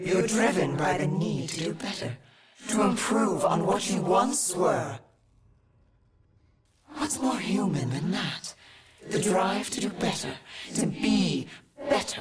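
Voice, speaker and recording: In a put-on character voice with a playful tone and middle pitch, the speaker goes at a fairly slow pace with long, frequent pauses. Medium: video game. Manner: sly, playful.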